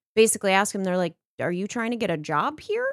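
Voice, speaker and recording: An ordinary speaking voice from a woman with an American accent, lively intonation and a fairly quick pace, on a very clean recording with a silent background and a dry, close sound with no echo. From Texas. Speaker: podcast guest. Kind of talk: casual chat.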